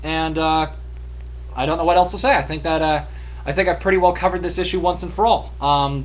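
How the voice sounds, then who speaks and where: Background noise is noticeable throughout. The male speaker moves along at a fairly quick pace. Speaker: video blogger. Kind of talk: monologue to camera. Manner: halting, many ums and uhs; in-your-face talking.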